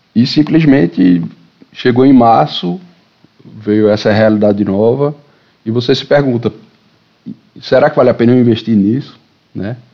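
Moderate pace and ordinary pitch variation. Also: man. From Brazil, Recife. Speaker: writer and editor. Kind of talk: casual chat. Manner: halting.

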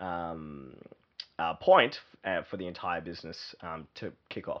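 With an Australian accent, a man speaks with ordinary pitch variation. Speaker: growth consultant and entrepreneur. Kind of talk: interview. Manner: halting, many fillers.

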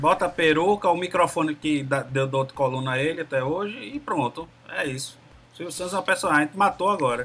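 Fairly high in pitch, this man speaks at a fairly quick pace with ordinary pitch variation. He has a plain, everyday voice. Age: 40s. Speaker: podcast guest. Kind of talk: casual chat.

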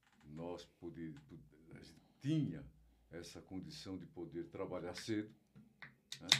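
Pausing long and often, a man speaks very slowly in a very deep, low voice, with ordinary pitch variation and big swings in loudness. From São Paulo, Brazil. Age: 70s. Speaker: retired aviation worker, guest's father. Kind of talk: casual chat.

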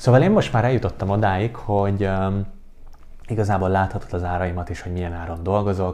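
This man's voice is fairly low in pitch, with a dark, mellow tone. He talks at a very fast pace with fairly even intonation. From Hungary. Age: 20s. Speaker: podcast host and life coach. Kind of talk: solo podcast monologue.

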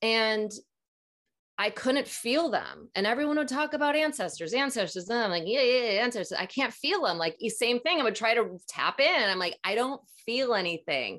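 In an American accent, a woman with a fairly high voice speaks at a moderate pace with lively intonation. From US Midwest, Minnesota. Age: 40s. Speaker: psychic and healer. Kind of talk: casual interview.

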